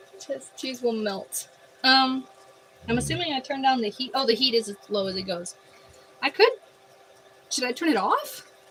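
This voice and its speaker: With an American accent, a woman speaks at a high pitch, pausing long and often over noticeable background noise. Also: lively intonation. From Montana, USA. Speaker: cooking livestreamer. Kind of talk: casual livestream chat. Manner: slow.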